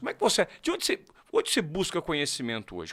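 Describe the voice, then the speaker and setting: A very clean recording with a silent background captures a man's fairly high pitch and bright, sharp tone. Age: 40s. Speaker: podcast host. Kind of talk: podcast interview.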